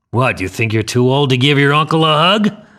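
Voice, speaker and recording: A man puts on a character voice with a fairly high pitch. He speaks at a fairly quick pace with lively intonation. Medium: read story.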